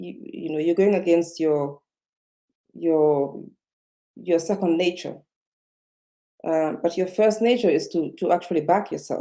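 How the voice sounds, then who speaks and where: A woman with a non-native accent speaks fairly slowly at a fairly low pitch, in a dark, mellow tone. Her pitch varies in an ordinary way, and she takes long, frequent pauses. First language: not English. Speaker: self-development vlogger. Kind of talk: live-stream motivational talk. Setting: live video stream. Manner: slowed down, speaking carefully; halting, many fillers and repetitions.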